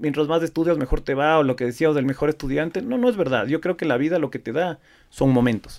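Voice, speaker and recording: Fairly high-pitched and lively in intonation, this man has a plain, everyday voice. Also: fairly quick pace. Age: 40s. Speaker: flower export business owner. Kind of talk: interview.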